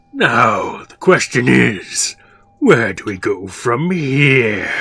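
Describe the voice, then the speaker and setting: In a put-on character voice, a man speaks raspy and menacing at a very slow pace and medium pitch. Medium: actual play. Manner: condescending and menacing.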